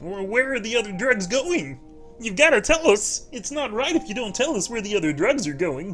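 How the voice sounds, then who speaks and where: A man puts on a character voice pitched high at a moderate pace. Clear music plays in the background. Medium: game stream.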